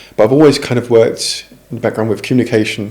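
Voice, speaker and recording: With a British accent, the speaker goes at a very fast pace. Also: man. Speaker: communications professional. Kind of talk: interview.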